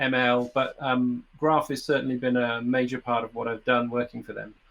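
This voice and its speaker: In a British accent, a man talks at a moderate pace on a very clean recording with a silent background. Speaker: software developer. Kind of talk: conference talk. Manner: halting.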